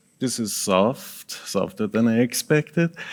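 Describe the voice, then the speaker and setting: Here a man speaks with a Persian accent at a medium pitch. The recording is very clean, the background silent. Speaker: project management consultant and author. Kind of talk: conference presentation.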